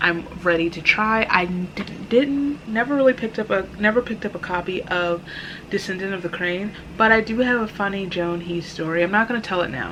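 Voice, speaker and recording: Amid noticeable background noise, the speaker goes at a moderate pace with ordinary pitch variation. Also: woman. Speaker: book vlogger. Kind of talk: casual unboxing vlog. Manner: casual, self-correcting with stumbles.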